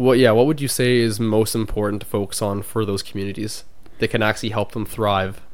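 A man with a Canadian accent has an ordinary speaking voice at a fairly low pitch. He talks at a fairly quick pace with fairly even intonation. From Canada. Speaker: podcast co-host. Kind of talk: casual chat.

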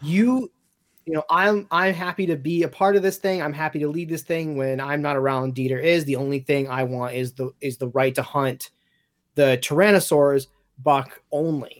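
A man with a normal speaking voice, ordinary pitch variation and a moderate pace. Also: fairly high pitch for a man. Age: 30s. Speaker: podcast co-anchor, franchise fan. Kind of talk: casual chat.

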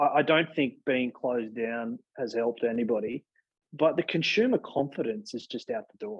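A man with an Australian accent, medium in pitch and lively in intonation, at a moderate pace. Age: 30s. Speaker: exercise physiologist and gym chain CEO. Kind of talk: interview. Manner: halting, many fillers.

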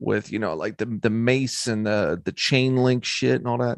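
A man with an unremarkable speaking voice talks at a moderate pace in a medium pitch with fairly even intonation. The sound is dry and close with no echo, over a quiet background. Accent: American. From Philadelphia. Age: 30s. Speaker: rapper and podcaster. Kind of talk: casual chat.

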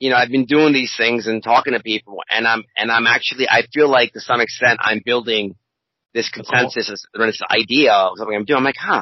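A man with an American accent talks at a fairly quick pace in a plain, everyday voice. His medium-pitched delivery has fairly even intonation. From US, Baltimore suburbs. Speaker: podcast co-host. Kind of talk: casual chat.

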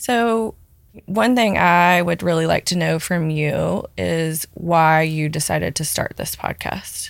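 A woman talks at a very slow pace. She has a Southern US accent. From Memphis, Tennessee, US South. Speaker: guest interviewer, community volunteer. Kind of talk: casual interview, asking questions.

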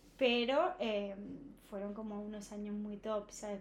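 Noticeable background noise behind a woman talking at a fairly slow pace. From Spain, Alicante province. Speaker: running influencer and marathon runner. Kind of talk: casual chat.

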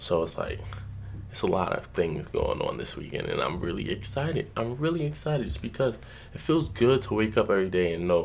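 The man sounds animated. His pitch swings very widely. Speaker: motivational podcast host. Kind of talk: solo motivational talk.

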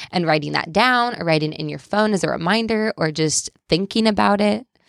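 Her intonation lively, a woman speaks with vocal fry. The recording is very clean, with a silent background and a dry, close sound lacking echo. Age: 20s. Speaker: stay-at-home mom sharing faith testimony. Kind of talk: interview testimony.

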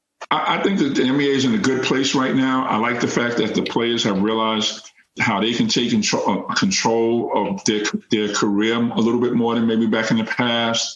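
Over noticeable background noise and audible room echo, a man with an American accent talks at a moderate pace and medium pitch, his loudness very even and his pitch variation ordinary. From New York City (Queens). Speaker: former college basketball player and youth coach. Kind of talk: interview.

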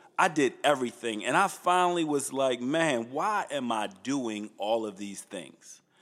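A man's medium-pitched voice at a fairly slow pace, with lively intonation and hardly any pauses, on a very clean recording against a silent background. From Baltimore, Maryland (Northeast Baltimore). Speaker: church executive. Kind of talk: casual interview.

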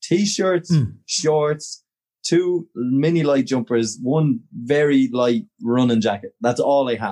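A man with an Irish accent speaks fairly slowly at a fairly high pitch. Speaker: podcast co-host. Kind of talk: casual chat. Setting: video call.

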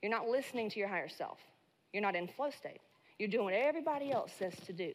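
Fairly quick, animated, shaky delivery. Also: woman. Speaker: business coach and keynote speaker. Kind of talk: motivational talk. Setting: stage with audience. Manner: shaky voice.

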